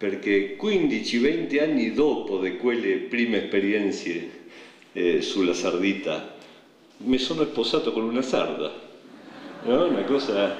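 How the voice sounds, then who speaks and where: A man's fairly slow, medium-pitched speech with lively intonation, very even loudness, long, frequent pauses, audible room echo and noticeable background noise. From Argentina. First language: Spanish (speaking Italian). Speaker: poet. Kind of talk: public speech. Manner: halting.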